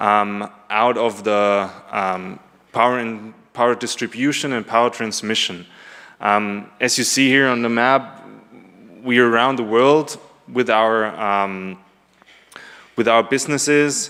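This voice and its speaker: With a German accent and a bright, sharp tone, a man of medium pitch speaks at a fairly slow pace with fairly even intonation and long, frequent pauses. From Germany. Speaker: conference presenter, business development manager. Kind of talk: conference presentation. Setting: conference room with audience. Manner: hesitant, many filler ums.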